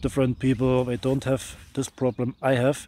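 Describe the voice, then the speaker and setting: Heard in a dry, close sound with no echo, the voice has a dark, mellow tone and a non-native accent. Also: man. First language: not English. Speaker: motorcycle vlogger. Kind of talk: product review. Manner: halting.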